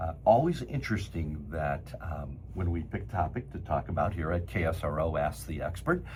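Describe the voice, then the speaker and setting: Very deep, low male pitch with vocal fry, lively intonation, a moderate pace and audible room echo. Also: hardly any pauses. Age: 70s. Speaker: cosmetic surgeon and show host. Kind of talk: interview conversation.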